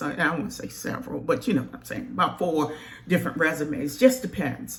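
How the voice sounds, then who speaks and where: A woman with a fairly low-pitched voice is heard over noticeable background noise. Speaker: career counselor. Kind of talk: tutorial. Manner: casual, conversational.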